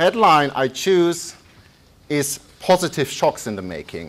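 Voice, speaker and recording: A man speaks with a German accent. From Germany. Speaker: economist. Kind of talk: lecture. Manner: halting.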